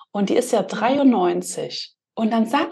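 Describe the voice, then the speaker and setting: The speaker is a woman. Her voice sits fairly high in pitch. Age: 30s. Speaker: podcast host. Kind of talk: casual chat.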